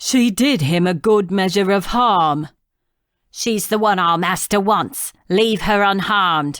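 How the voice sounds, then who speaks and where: A female-sounding voice does a growling, put-on character voice at a middle pitch and a fairly slow pace, recorded very cleanly over a silent background. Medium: read story. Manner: terse, hostile.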